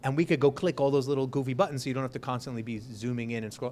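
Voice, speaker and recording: A man with an American accent talks at a medium pitch with fairly even intonation. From New York. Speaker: startup investor. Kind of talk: fireside chat. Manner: fast.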